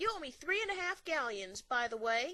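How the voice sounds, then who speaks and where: In a put-on character voice, a woman speaks at a high pitch with very wide pitch swings and a moderate pace. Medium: read story. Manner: brash, cocky.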